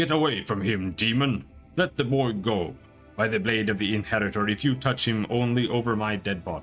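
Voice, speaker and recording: Using a put-on character voice, a booming man with a medium pitch speaks at a fairly quick pace with lively intonation, with clear music in the background. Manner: defiant, commanding.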